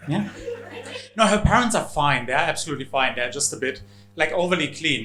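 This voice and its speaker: Fairly quick speech with a German accent and lively intonation, plus audible room echo and noticeable background noise. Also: man. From Germany. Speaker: comedian. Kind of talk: stand-up. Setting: stage with audience.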